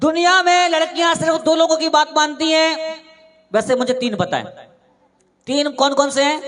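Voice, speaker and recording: A man speaks with an extremely high pitch and ordinary pitch variation. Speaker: stand-up comedian and mimicry artist. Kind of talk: live stand-up comedy. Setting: live stage show with audience.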